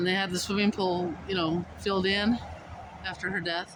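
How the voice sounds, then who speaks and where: Mumbling at a moderate pace through noticeable background noise. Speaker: vlogger. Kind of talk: casual walking vlog narration. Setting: outdoors.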